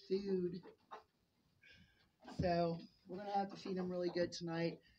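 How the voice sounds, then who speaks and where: A somewhat breathy voice talks at a fairly slow pace with fairly even intonation. Light background noise runs underneath. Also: woman. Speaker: homesteader vlogger. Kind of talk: casual vlog monologue. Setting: in a barn. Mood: chatty, amused. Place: farm machine. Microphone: phone near.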